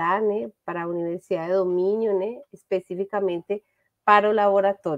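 Against a quiet background, a woman with a Spanish accent speaks with fairly even intonation. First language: Spanish (speaking Portuguese). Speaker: business administration professor. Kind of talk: academic presentation. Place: home room. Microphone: webcam.

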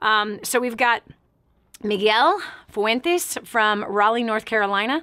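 A woman's bright, sharp, animated voice at a fairly slow pace, with ordinary pitch variation and a quiet background. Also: fairly high pitch for a woman. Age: 40s. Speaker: talk show host and motivational speaker. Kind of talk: radio call-in talk show. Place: studio.

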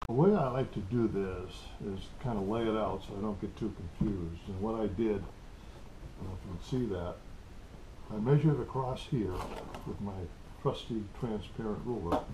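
A man's fairly low voice with ordinary pitch variation, a moderate pace and long, frequent pauses, over noticeable background noise. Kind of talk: tutorial. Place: workshop. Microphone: camera far.

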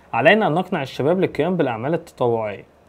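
A man with an Egyptian accent. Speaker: English teacher. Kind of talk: exam review tutorial. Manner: fast. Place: home room.

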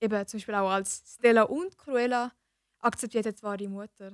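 Against a quiet background with dry sound and no echo, a woman speaks at a fairly high pitch with fairly even intonation. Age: young. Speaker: apprentice; podcast guest or co-host. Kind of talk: casual chat. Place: studio. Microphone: studio mic.

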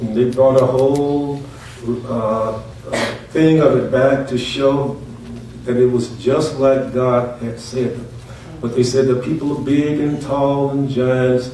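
A man speaks very slowly in a monotone, flat intonation with long, frequent pauses. Light background noise and audible room echo fill the recording. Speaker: pastor. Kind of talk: sermon. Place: church. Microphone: camera far.

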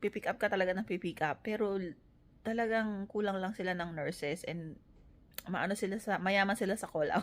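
Talking at a fairly quick pace, this woman has an ordinary speaking voice, a medium pitch and fairly even intonation. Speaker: nurse and family vlogger. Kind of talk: casual vlog talk.

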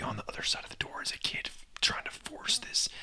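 Whispering at a fairly quick pace. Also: man. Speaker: lifelong friend of the host. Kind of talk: casual storytelling about personal experiences. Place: home room. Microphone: studio mic.

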